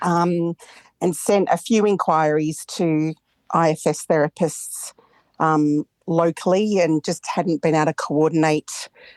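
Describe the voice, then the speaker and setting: Fairly low-pitched woman in an Australian accent, fairly slow and fairly even in intonation, with very even loudness, a dry, close sound with no echo and a quiet background. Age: 50s. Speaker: psychologist. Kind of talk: therapy session call.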